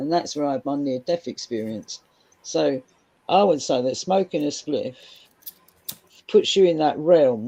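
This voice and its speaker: A woman with a Cockney accent speaks fairly slowly in a very deep, low voice with a dark, mellow tone. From London (Cockney). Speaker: guest on live stream panel. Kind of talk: casual chat.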